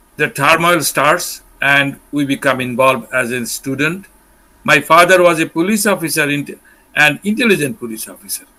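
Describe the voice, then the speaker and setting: In a bright, sharp tone, a fairly high-pitched man talks at a moderate pace with lively intonation and big swings in loudness. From Bangladesh, North Bengal (Kurigram). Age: 60s. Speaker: war survivor. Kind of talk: interview testimony.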